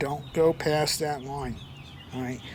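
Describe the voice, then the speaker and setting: Over noticeable background noise, a man talks in a fairly high pitch with fairly even intonation. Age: 60s. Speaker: car owner doing DIY project. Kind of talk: tutorial. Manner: casual, conversational.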